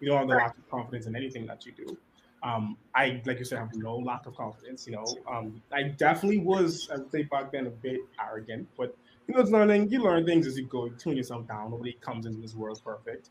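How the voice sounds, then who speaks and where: A medium-pitched man speaks at a very fast pace. His voice is somewhat breathy. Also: lively intonation. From Bahamas, Nassau. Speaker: conservation communications officer. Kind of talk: casual chat.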